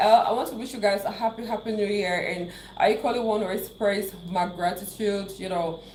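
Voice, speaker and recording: With a Cameroonian accent, a woman speaks in an animated tone at a medium pitch and a fairly quick pace, with ordinary pitch variation, audible room echo and noticeable background noise. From Cameroon, English-speaking southwest region. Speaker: YouTuber. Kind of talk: live stream chat.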